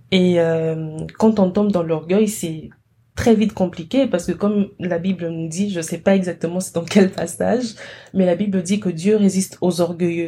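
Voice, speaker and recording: A woman's somewhat breathy, medium-pitched voice in a dark, mellow tone, with fairly even intonation at a moderate pace. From DR Congo. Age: 20s. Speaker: chemistry master's student. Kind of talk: interview conversation.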